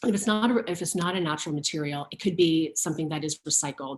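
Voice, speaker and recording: This is a woman speaking. Her pitch is fairly low. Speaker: fashion stylist and sustainability brand founder. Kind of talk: online talk. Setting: virtual learning session. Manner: many fillers and repetitions.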